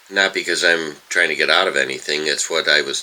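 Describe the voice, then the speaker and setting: Over noticeable background noise, a man speaks at a fairly quick pace with an American accent. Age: 70s. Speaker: retired school bus driver, video blogger. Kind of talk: casual vlog monologue. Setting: home, early morning. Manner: halting, many fillers.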